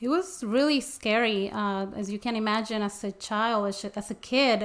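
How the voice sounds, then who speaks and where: A woman speaks with a Spanish accent at a fairly high pitch. Her pace is moderate and her pitch varies in an ordinary way. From Mexico. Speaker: interpreter and small business owner. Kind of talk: interview. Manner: halting, many fillers.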